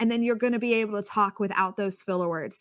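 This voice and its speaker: A woman's fairly high voice in a dry, close sound with no echo and a very clean recording over a silent background. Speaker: communications coach. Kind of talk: interview. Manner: loud; animated.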